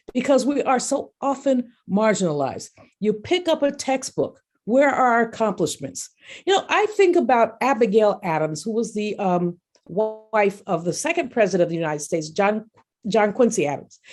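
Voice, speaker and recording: Against music in the background, a woman's fairly high voice moves in very wide pitch swings. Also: moderate pace. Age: 60s. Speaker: economist and professor. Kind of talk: speech.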